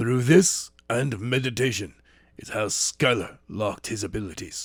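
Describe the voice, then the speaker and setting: This raspy, put-on character voice moves at a moderate pace. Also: man. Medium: read story.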